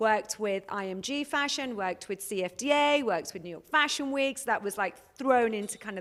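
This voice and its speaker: A woman with a London accent talks at a fairly quick pace with hardly any pauses. Her tone is animated, her intonation lively, and her loudness swings widely. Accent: British, London. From England, London. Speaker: fashion consultant. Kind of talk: interview. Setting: studio by the beach, with webcam.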